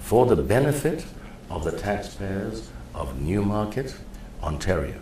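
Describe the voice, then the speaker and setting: With audible room echo, a man with a fairly low pitch speaks at a fairly slow pace, his pitch swinging very widely between long, frequent pauses. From Kenya. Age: 60s. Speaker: mayoral candidate and preacher. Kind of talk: interview.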